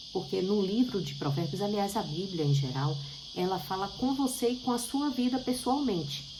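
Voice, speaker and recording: A woman's pitch swings very widely, with audible room echo and noticeable background noise. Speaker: bible teacher. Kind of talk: bible study talk.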